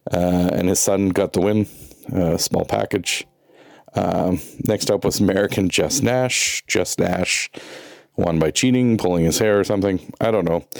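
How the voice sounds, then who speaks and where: At a moderate pace, a man speaks with a very deep, low pitch, ordinary pitch variation and very even loudness. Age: 40s. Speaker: wrestling commentator. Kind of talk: casual show report.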